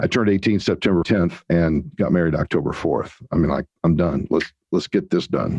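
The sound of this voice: A man talks low in pitch, his tone slightly mellow with a slightly husky edge. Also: ordinary pitch variation, moderate pace.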